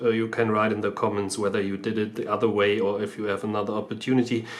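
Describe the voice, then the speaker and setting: This man has a non-native accent and a medium pitch. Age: 30s. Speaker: car DIY video maker. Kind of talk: tutorial. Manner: halting, many fillers.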